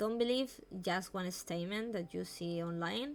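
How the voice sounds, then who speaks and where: A woman's lively, up-and-down delivery with a Spanish accent. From Spain. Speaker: vtuber streamer. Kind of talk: live stream talk on mental health. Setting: live stream. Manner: halting.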